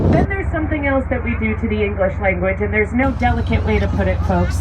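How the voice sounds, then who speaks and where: A woman talks with an American accent. Audible room echo and noticeable background noise are present. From Pittsburgh, Pennsylvania. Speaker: boat tour guide. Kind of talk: guided tour commentary.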